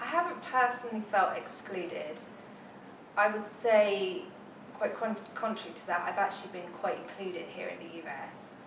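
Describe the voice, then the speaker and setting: With a British accent and lively intonation, a woman talks at a moderate pace and medium pitch, her loudness swinging widely amid audible room echo and noticeable background noise. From England, Plymouth. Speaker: military spouse. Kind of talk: interview. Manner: hesitant, many fillers.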